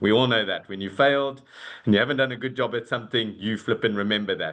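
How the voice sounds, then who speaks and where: Speaking in a South African accent, a man shows ordinary pitch variation. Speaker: corporate talent and leadership executive. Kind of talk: webinar fireside chat. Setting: video call. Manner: hesitant, many fillers.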